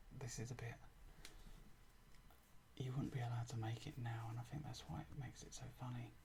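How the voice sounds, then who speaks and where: A man speaks softly. His voice carries vocal fry. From England. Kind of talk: ASMR show and tell. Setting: home recording with microphone. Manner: soft-spoken.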